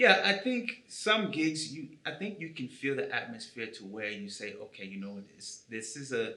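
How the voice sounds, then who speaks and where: With an American accent, a man speaks at a moderate pace with very wide pitch swings, amid audible room echo and noticeable background noise. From US, Chicago South Side. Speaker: musician. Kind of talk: interview.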